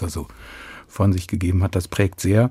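A man speaks at a very deep, low pitch with a dark, mellow tone. His delivery is somewhat breathy and moves at a moderate pace. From Hannover, northern Germany. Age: 60s. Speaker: concert pianist. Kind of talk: radio interview.

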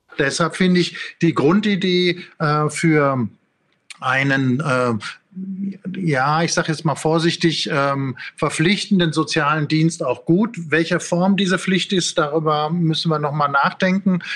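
Fairly high in pitch with ordinary pitch variation, a man talks at a fairly slow pace in an unremarkable speaking voice. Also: very even loudness. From Ruhr area, Germany. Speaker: philosophy professor. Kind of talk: interview.

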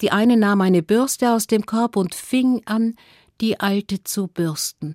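Over a very clean recording with a silent background, a woman speaks very slowly at a medium pitch in a dark, mellow tone. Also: dry, close sound with no echo. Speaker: fairy tale storyteller. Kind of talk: fairy tale storytelling, told freely to children. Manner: animated, vivid storytelling with lively shifts between narrator and characters.

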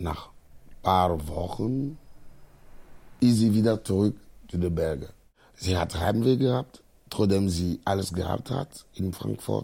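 The speaker moves at a very slow pace, leaving long, frequent pauses. The intonation stays lively throughout. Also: man, very deep, low pitch for a man. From Togo. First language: not German (speaking German). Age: 30s. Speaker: refugee. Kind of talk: interview monologue.

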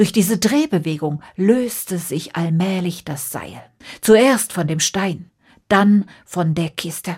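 A woman speaks at a slow pace with few pauses, her fairly low voice carrying lively intonation, a slightly mellow tone and a slightly husky edge, on a very clean recording with a silent background.

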